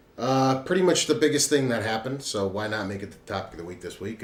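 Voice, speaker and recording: With audible room echo and noticeable background noise behind him, a man speaks very fast with lively intonation. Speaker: podcast host. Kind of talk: casual chat.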